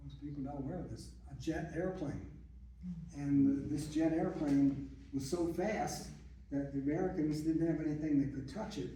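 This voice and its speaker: Noticeable background noise and audible room echo around a man's fairly high voice, moderate pace, fairly even intonation. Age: 80s+. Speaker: retired doctor presenting brother's life story. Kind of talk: talk to audience. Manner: halting.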